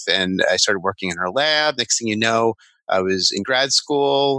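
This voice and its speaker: With an American accent, a man speaks at a medium pitch in a bright, sharp tone, recorded dry and close with no echo. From Long Island, New York. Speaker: language therapist. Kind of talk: interview.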